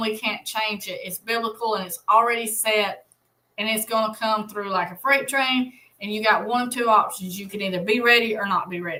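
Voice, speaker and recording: With an Alabama accent, a woman speaks at a moderate pace in a fairly high, bright, sharp voice, her intonation fairly even. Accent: US Southern (Alabama). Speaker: Bible study livestream host. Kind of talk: livestream Bible study. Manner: casual, conversational.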